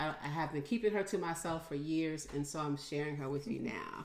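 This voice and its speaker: With audible room echo, a woman speaks at a moderate pace in a fairly low pitch, using ordinary pitch variation. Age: 60s. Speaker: podcast host. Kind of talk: casual interview.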